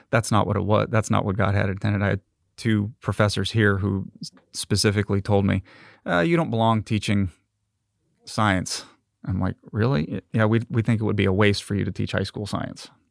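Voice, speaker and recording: In a very clean recording with a silent background and a dry, close sound with no echo, a man with an ordinary speaking voice and fairly low pitch speaks at a moderate pace with fairly even intonation. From California. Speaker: research engineer. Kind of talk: interview conversation.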